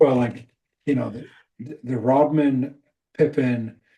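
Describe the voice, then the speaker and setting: A man's medium-pitched, somewhat breathy voice with a dark, mellow tone and an American accent, at a very slow pace. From Scotland. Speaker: leadership coach. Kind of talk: casual chat.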